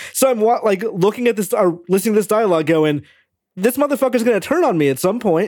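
Very fast and lively in intonation, a man talks at a high pitch. His loudness stays very even. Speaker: podcast host. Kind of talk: casual chat.

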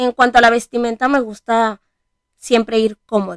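Delivery is at a moderate pace. The audio sounds dry and close, without any echo. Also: woman. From Dominican Republic, Bonao. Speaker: podcaster. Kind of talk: personal monologue.

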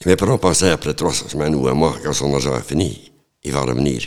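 A man talks with a very deep, low pitch. His voice has vocal fry. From Flanders, Belgium. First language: Dutch (speaking French). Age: 60s. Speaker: sculptor, former street person. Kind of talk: life-story interview. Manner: halting.

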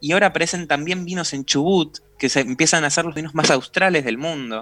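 With a bright, sharp tone, a man talks at a fairly high pitch. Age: 20s. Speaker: wine sommelier. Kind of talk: radio interview.

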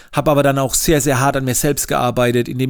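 A man talks in a medium pitch with fairly even intonation. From Palatinate, Germany. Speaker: podcast host and coach. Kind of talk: solo podcast monologue. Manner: frequent filler sounds; casual.

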